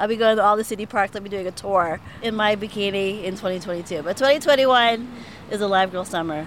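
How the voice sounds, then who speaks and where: Noticeable background noise behind a woman's voice, its pitch varying in an ordinary way. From Pittsburgh (North Side). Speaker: designer and writer. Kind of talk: casual interview.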